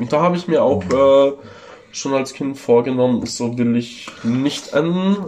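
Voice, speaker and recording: Noticeable background noise sits behind speech whose pitch varies in an ordinary way. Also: man. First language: Italian or Ladin (speaking German). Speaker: tattoo artist. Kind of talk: casual chat. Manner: hesitant, many fillers. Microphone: phone recording.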